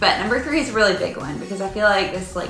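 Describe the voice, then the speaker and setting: A woman's voice in a Southern US accent, with audible room echo and music in the background. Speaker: real estate agent. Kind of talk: casual vlog presentation.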